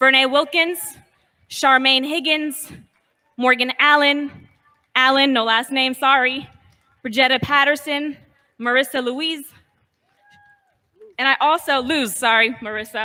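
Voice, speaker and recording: The voice is raised and projected, moving at a fairly slow pace with long, frequent pauses. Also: woman, high pitch for a woman, fairly even intonation. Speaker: rally organizer. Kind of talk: rally speech. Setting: outdoors.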